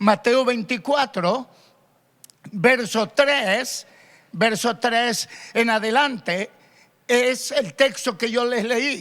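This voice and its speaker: A man with an extremely high, bright, sharp voice talks at a very slow pace, pausing long and often, with ordinary pitch variation. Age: 60s. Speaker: pastor. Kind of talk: sermon. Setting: radio broadcast and online stream.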